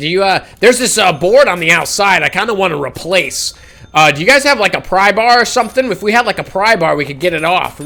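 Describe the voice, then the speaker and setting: A man's put-on character voice, raspy and high-pitched, raised and projected, with lively intonation and a very fast pace. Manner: annoying, high-pitched.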